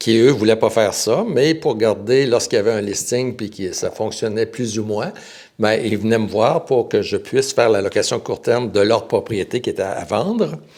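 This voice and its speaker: With a Quebec accent, the speaker goes at a moderate pace in a very clean recording with a silent background. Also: man. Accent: Québécois French. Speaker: real estate broker. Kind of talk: podcast interview. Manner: halting.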